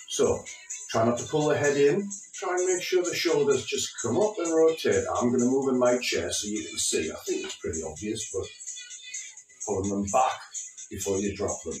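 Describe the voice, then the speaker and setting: Music plays in the background as a man speaks at a moderate pace amid audible room echo. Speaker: fitness instructor. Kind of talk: exercise class instruction. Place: home room. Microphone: camera far.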